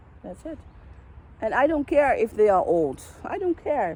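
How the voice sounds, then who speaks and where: A woman with a Dutch accent at a moderate pace. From Netherlands. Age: 40s. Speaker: vlogger. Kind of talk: personal monologue vlog. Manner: halting.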